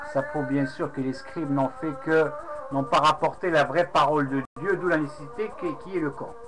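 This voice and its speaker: Behind this man, music plays in the background. He speaks at a moderate pace with fairly high pitch and ordinary pitch variation. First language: Arabic (speaking French). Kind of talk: casual webcam monologue recounting a debate. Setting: webcam recording. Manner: halting, many hesitations.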